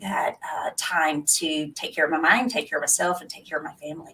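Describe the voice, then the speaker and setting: A woman's fairly low voice in a Texan accent, at a fairly quick pace. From Texas. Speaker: nurse and webinar host. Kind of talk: casual interview chat.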